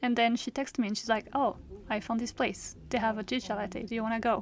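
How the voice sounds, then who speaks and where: A woman talks at a fairly high pitch in a very clean recording with a silent background. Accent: non-native. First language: not English. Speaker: vlogger and illustrator. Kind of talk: vlog narration. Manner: casual, with fillers.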